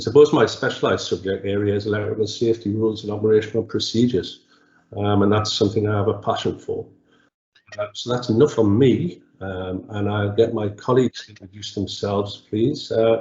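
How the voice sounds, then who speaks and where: A man speaks in a Geordie accent. His pitch is fairly low. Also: fairly even intonation. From northeast England, Newcastle upon Tyne. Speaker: electrical engineering consultant. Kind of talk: webinar presentation. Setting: webinar. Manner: hesitant, many fillers.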